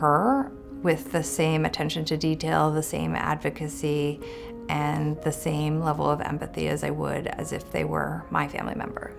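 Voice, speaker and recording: A woman talks. Behind her, clear music plays. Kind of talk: interview answer. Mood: warm, reflective. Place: office.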